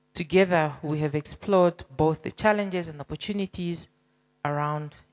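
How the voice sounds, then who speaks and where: A woman's very deep, low pitch with fairly even intonation and big swings in loudness, over a quiet background. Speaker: government official. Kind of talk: formal speech. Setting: conference hall.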